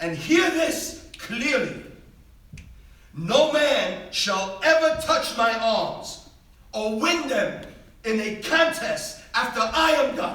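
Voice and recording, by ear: In a put-on character voice, a man speaks slowly at an extremely high pitch, bright and sharp in tone with lively intonation, amid strong room echo.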